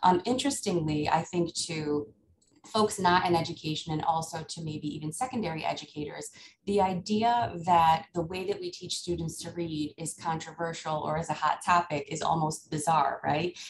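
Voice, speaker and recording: This speaker has an American accent, a somewhat breathy voice and a moderate pace with ordinary pitch variation. Background noise is noticeable. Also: woman, fairly low pitch for a woman. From upstate New York. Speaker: elementary school principal. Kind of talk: conference presentation. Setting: video call. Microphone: video call.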